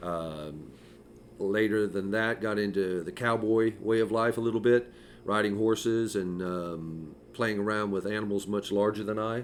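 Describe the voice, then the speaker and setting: A normal speaking voice from a man with an American accent, fairly low in pitch, fairly slow and fairly even in intonation. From California, San Francisco. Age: 60s. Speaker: podcast co-host. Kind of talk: casual chat.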